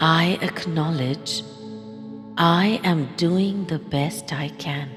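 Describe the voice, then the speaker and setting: With music in the background, a woman speaks very slowly at a fairly low pitch in a soothing, calm tone. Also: ordinary pitch variation. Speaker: voice-over narrator. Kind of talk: guided affirmation meditation. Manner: soothing, calm, slow.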